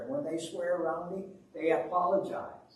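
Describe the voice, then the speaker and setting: Noticeable background noise and audible room echo surround a man speaking. He talks at a moderate pace with an American accent. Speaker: retired pastor, guest preacher. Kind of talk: sermon.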